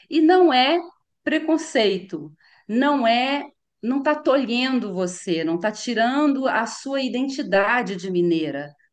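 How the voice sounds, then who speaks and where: A woman speaks at a very slow pace in a high voice. Her pitch swings very widely. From Brazil, Minas Gerais (Belo Horizonte). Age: 50s. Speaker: voice actress. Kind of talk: interview. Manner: repetitive, explanatory with fillers.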